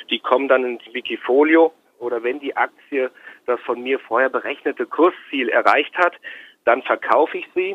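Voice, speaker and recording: A man with an unremarkable speaking voice talks at a moderate pace and a fairly high pitch. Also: ordinary pitch variation. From Hesse, Germany (Marburg). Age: 40s. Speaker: stock trader. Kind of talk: interview.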